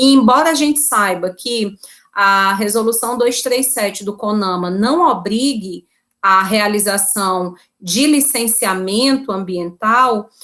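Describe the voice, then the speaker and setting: A woman's bright, sharp voice at a fairly high pitch, very slow in pace with ordinary pitch variation, on a very clean recording with a silent background. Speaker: law professor. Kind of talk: lecture.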